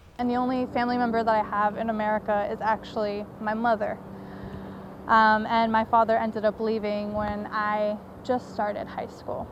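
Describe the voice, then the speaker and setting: Against noticeable background noise, a woman talks at a moderate pace with a fairly high pitch and fairly even intonation. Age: 20s. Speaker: college student and documentary maker. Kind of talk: personal testimony.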